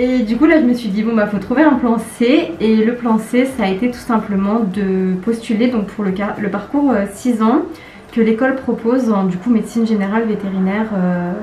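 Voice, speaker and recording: A woman with a fairly high pitch speaks at a moderate pace with ordinary pitch variation. Her voice carries audible room echo amid noticeable background noise. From France, Lyon area countryside. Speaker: veterinary student. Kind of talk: casual interview. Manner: hesitant, many fillers.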